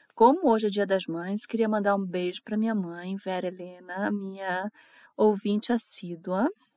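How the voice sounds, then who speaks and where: This woman has a medium pitch and a dark, mellow tone, speaking at a moderate pace with fairly even intonation. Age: 50s. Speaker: radio host. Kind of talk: radio music show presenting.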